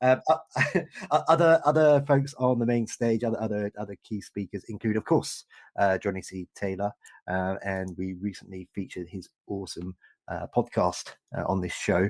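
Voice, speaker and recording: With a British accent, a man speaks in a fairly low pitch with lively intonation, the sound dry and close with no echo. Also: moderate pace. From Britain. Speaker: podcast host. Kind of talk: interview. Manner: animated.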